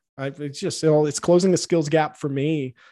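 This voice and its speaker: A man speaks with an ordinary speaking voice, fairly high in pitch, at a moderate pace. His intonation is fairly even, over a quiet background. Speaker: business consultant and podcaster. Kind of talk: casual interview.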